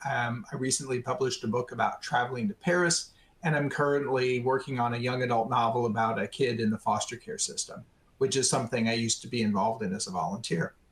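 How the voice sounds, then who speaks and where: A man speaks at a very fast pace, his pitch medium with ordinary variation. His voice is somewhat breathy. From Arizona. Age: 60s. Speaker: retired tech worker living with ALS. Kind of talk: webinar interview. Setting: webinar.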